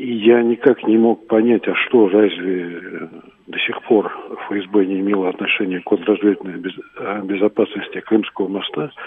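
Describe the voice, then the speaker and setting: Fairly slow delivery, fairly even intonation and noticeable background noise. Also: man, fairly low pitch for a man. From Crimea (Sevastopol). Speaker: caller, former security officer. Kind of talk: phone-in opinion. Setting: phone call.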